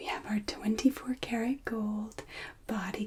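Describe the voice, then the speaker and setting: A woman speaks softly, with a somewhat breathy, gentle tone. Her pace is fairly slow. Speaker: ASMR creator. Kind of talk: ASMR roleplay as a hotel and spa receptionist. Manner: soft-spoken, gentle, polite.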